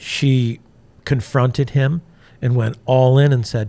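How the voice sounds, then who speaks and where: The man's voice sits at a medium pitch with a dark, mellow tone and is somewhat breathy. He speaks fairly slowly with fairly even intonation. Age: 60s. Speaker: entrepreneur sharing life story. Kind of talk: interview testimony. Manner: halting, many fillers and restarts.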